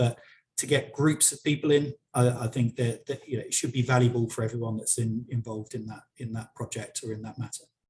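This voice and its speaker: Here a man with a British accent speaks at a fairly quick pace. His voice is somewhat breathy, with fairly even intonation. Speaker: software company director. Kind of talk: webinar interview. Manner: halting, many repetitions.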